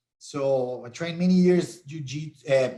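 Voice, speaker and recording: A man is speaking. He has a Brazilian Portuguese accent. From Brazil, Curitiba. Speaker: MMA conditioning coach and sports science professor. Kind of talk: live stream interview. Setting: live stream.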